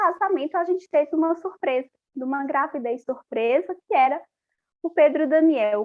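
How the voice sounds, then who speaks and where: A woman's high-pitched voice with lively intonation, a moderate pace and a slight Paraíba accent. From Paraíba, Brazil. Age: 40s. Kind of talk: interview testimony.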